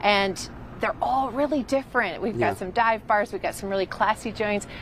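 With ordinary pitch variation and a fairly quick pace, a woman talks as light background noise sits underneath. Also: dry sound with no echo. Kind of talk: interview answer. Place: street. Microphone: handheld.

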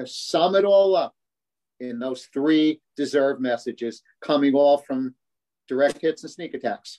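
A man speaks at a fairly slow pace. His tone is slightly mellow, with ordinary pitch variation.

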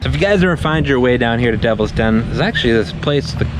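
Noticeable background noise around a man's voice, the sound dry with no echo. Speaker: travel vlogger. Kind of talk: casual vlog chat. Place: waterside. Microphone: phone near.

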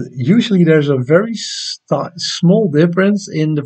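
Somewhat breathy speech with lively intonation in a Dutch accent, against a quiet background. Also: man. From Netherlands. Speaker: amateur astronomy YouTuber. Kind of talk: live stream chat and tutorial. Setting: home live stream at night. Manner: casual, hesitant with many fillers. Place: home room. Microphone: webcam.

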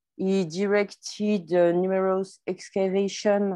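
With a French accent, a woman talks very slowly in a dark, mellow tone at a fairly low pitch against a quiet background. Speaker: archivist. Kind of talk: academic presentation.

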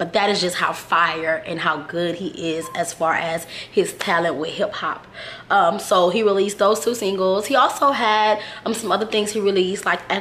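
A woman with an American accent at a medium pitch and moderate pace, with noticeable background noise. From Houston, Texas. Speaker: music reviewer / YouTuber. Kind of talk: casual video review.

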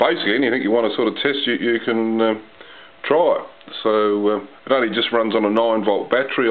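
The pace is fairly quick, and the intonation stays fairly even throughout. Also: man.

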